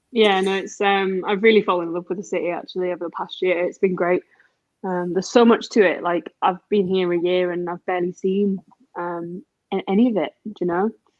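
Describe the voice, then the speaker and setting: A woman with a slight Yorkshire accent at a fairly quick pace, her intonation monotone and flat. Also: medium pitch for a woman. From Yorkshire, England. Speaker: distillery brand representative. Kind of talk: casual chat.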